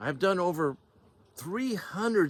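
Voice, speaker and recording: A man's voice with very wide pitch swings, on a very clean recording against a silent background. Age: 60s. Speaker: door-to-door sales trainer. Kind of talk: motivational sales talk. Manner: informal, conversational; halting, self-correcting.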